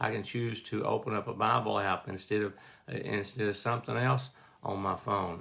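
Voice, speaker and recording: This man's voice has vocal fry. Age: 60s. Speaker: lay devotional speaker. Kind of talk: devotional talk. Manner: halting, many repeated words.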